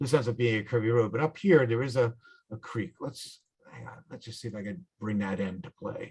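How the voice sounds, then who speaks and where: Somewhat breathy and at a fairly quick pace, the speaker has a New York accent, lively intonation and big swings in loudness. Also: man, medium pitch for a man. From New York, the Bronx, then upstate. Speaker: motorcycle club instructor. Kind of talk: tutorial. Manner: casual, halting.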